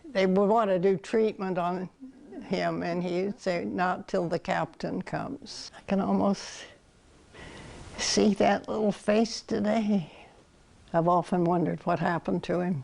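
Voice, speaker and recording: A woman with an American accent and vocal fry, medium in pitch, at a fairly slow pace with ordinary pitch variation. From Kansas. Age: 80s+. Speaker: retired military nurse. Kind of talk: interview testimony.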